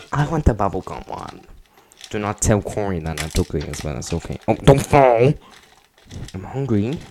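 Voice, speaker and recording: The speaker goes at a moderate pace, with long, frequent pauses. Background noise is noticeable. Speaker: podcast co-host. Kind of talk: casual chat.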